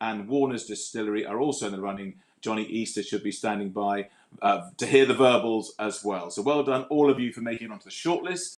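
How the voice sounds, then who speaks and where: In a plain, everyday voice, a man of medium pitch speaks at a fairly quick pace with ordinary pitch variation. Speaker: awards show host. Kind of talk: awards ceremony hosting. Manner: jokey, lively.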